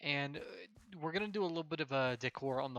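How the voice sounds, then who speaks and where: A man mumbles in a bright, sharp tone. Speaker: gaming channel host. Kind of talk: gameplay commentary. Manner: mumbling; halting, many fillers.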